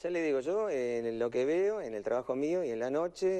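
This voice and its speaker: Here a man speaks at a fairly slow pace in a dark, mellow tone. His pitch is fairly high, and it makes very wide swings. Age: 60s. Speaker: night-shift driver. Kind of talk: casual chat. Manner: halting.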